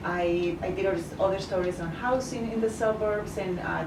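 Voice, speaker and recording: A woman speaks at medium pitch and a moderate pace, her intonation fairly even. Noticeable background noise and audible room echo fill the recording. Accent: Spanish. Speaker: journalist. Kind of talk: interview. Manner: halting, many fillers.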